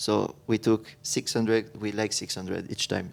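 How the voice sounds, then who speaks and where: A man speaks with a French accent. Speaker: architect. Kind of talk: panel discussion. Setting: stage with audience. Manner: halting.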